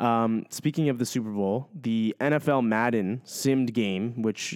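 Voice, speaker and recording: This man has an unremarkable speaking voice, medium in pitch with ordinary variation. The recording is very clean and dry, close with no echo and a silent background. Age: 20s. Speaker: sports podcast co-host. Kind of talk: casual chat.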